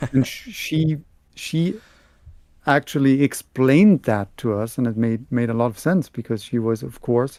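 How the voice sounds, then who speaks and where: A man with a medium-pitched voice and a dark, mellow tone talks at a moderate pace with lively intonation. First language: German. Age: 40s. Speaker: book youtuber. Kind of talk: casual chat.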